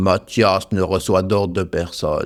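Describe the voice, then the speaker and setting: A man puts on a booming character voice, very deep and low in pitch. He speaks fairly slowly in a flat monotone. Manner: commanding.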